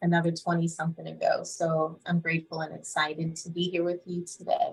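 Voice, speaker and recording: Somewhat breathy speech at a moderate pace, with monotone, flat intonation. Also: woman. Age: 40s. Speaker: meditation guide and yoga instructor. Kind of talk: casual chat.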